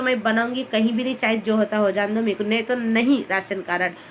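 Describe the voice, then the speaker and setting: A woman's voice at a moderate pace, fairly even in intonation, over noticeable background noise. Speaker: vlogger. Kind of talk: casual chat. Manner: chatty, rambling.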